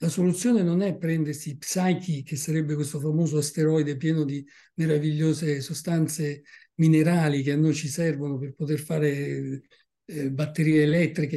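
Using a fairly high pitch and a dark, mellow tone, a man talks at a moderate pace with monotone, flat intonation. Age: 70s. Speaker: naturalist and author. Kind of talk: book presentation talk.

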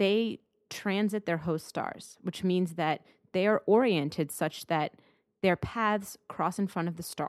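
An unremarkable speaking voice from a woman at medium pitch, with ordinary pitch variation, in a very clean recording with a silent background and a dry, close sound free of echo. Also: fairly slow pace. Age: 20s. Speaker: planetary scientist. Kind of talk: interview.

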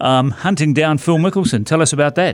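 Fairly quick and with ordinary pitch variation, a man speaks in a very clean recording with a silent background. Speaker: golf podcast host. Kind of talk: interview. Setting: studio.

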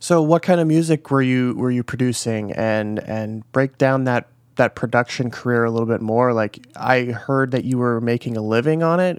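Speaking with an American accent, a man with a plain, everyday voice talks at medium pitch and a moderate pace with ordinary pitch variation, in a dry, close sound with no echo. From US Midwest. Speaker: podcast host. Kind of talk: casual interview; scripted podcast intro. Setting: remote call.

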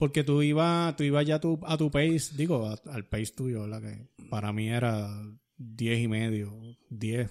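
This man has a Puerto Rican accent and a medium-pitched voice with ordinary pitch variation. He talks at a fairly slow pace over a very clean recording with a silent background. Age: 50s. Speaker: podcast host and runner. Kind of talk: casual chat. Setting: studio.

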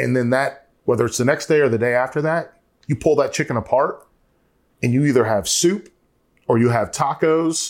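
Fairly quick and fairly high-pitched, a man with an American accent talks in an unremarkable speaking voice with ordinary pitch variation. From North Carolina. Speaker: college football analyst and home cook. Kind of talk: casual chat.

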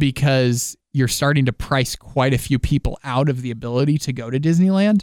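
A man uses a normal speaking voice at fairly high pitch. He keeps a moderate pace and ordinary pitch variation. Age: 20s. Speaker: podcast co-host. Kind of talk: casual chat.

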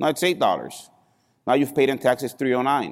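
On a very clean recording with a silent background, a man speaks at medium pitch in an animated tone. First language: not English. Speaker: financial services speaker. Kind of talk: seminar talk to live audience. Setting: stage with audience, filmed live. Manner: animated, engages audience with questions.

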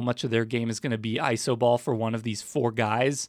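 Moderate pace in a dry, close sound with no echo. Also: man. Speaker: sports beat writer. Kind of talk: casual chat. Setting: studio. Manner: trails off.

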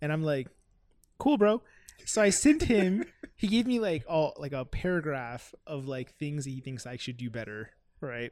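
A man with a Miami accent talks at a moderate pace, his fairly high pitch making very wide swings. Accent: Miami American English. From Miami, US. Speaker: rapper. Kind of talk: casual interview chat.

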